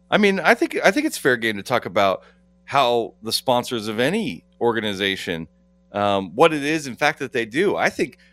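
Recorded very cleanly against a silent background, with a dry, close sound and no echo, a man speaks at medium pitch and a moderate pace with very wide pitch swings. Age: 40s. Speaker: legal analyst. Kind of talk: casual chat.

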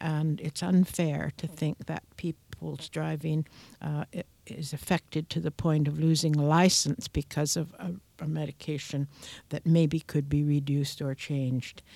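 A woman's very deep, low-pitched voice with fairly even intonation, on a very clean recording with a silent background. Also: fairly slow pace, dry, close sound with no echo. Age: 80s+. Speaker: seniors' advocate. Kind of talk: radio interview.

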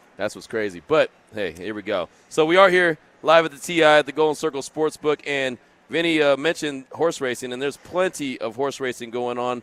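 A man talks at a fairly quick pace with fairly high pitch and ordinary pitch variation. His loudness swings widely in a dry, close recording with no echo. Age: 40s. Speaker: sports radio host. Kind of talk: live sports talk radio. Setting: live broadcast from a casino sportsbook.

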